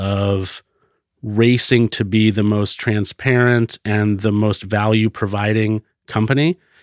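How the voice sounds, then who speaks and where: An American-accented man with an unremarkable speaking voice talks at a fairly low pitch, fairly slowly and with fairly even intonation. The sound is dry and close with no echo, a very clean recording on a silent background. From Florida. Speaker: podcast producer, business owner. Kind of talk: interview.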